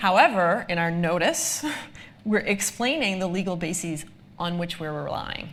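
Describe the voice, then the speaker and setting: With an American accent, a woman uses an unremarkable speaking voice, fairly low in pitch, with ordinary pitch variation. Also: moderate pace. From United States. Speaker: lawyer, data protection expert. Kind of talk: live presentation Q&A. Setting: live event with audience. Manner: frequent filler ums.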